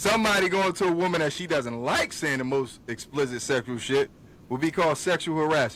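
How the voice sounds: A man's fairly quick, fairly bright voice with a fairly high pitch. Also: ordinary pitch variation.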